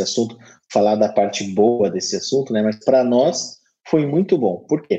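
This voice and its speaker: This man's voice sits at a medium pitch, with a dark, mellow tone and ordinary pitch variation. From Curitiba, southern Brazil. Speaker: university marketing director. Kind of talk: interview.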